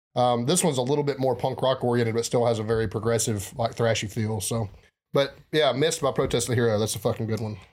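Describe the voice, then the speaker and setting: In a very clean recording with a silent background, a man speaks very fast at a medium pitch. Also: ordinary pitch variation. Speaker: podcast host. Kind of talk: casual chat.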